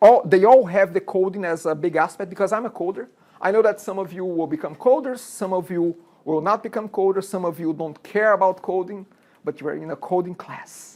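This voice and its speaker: A woman with a Brazilian Portuguese accent speaks at a fairly quick pace in a medium pitch with a dark, mellow tone. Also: ordinary pitch variation. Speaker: college instructor. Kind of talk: lecture. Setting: classroom. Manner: talkative.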